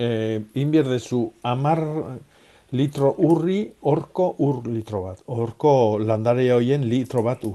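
Medium pitch and a dark, mellow tone in a man's voice. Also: ordinary pitch variation. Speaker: gardening expert. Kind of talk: radio phone-in advice. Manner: halting.

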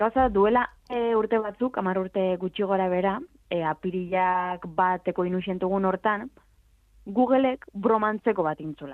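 Here is a woman with a plain, everyday voice. She speaks at a medium pitch with ordinary pitch variation. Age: 20s. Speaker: video game commentator. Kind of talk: casual chat.

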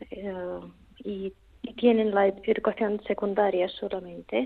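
A woman talks with a Russian accent. Her intonation stays fairly even. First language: Russian (speaking Spanish). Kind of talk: phone interview. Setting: phone call. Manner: halting.

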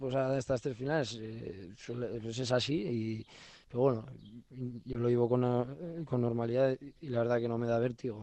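Dark and mellow in tone, a man's voice moves at a fairly slow pace with fairly even intonation. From Navarre, Spain. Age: 20s. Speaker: professional pelota player. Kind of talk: interview. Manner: halting.

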